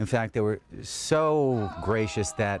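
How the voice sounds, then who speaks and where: Using a plain, everyday voice, a man speaks fairly low in pitch with lively intonation. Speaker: volunteer tour guide. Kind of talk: on-location guided tour. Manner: casual, conversational.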